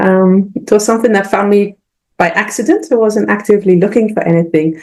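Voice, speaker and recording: A woman talks at a fairly quick pace in a British accent. Her pitch is medium and her loudness very even. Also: ordinary pitch variation. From Britain. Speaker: scientist. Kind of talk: interview. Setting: video call. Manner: hesitant, many fillers.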